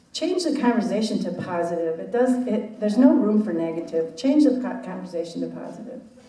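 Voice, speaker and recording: Over noticeable background noise and audible room echo, a woman's voice swings very widely in pitch. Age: 70s. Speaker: real estate professional. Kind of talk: panel discussion.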